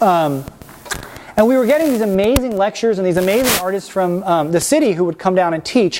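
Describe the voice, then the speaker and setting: Over noticeable background noise, a man with an American accent speaks at a very fast pace in a high pitch, his pitch swinging very widely. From Washington DC, US. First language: Spanish. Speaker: painter. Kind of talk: artist talk. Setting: lecture room with audience. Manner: casual, many fillers.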